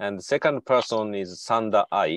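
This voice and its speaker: With a Japanese accent, a man speaks very slowly at a fairly low pitch in a dry, close sound with no echo. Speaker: symposium MC, professor. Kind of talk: event hosting.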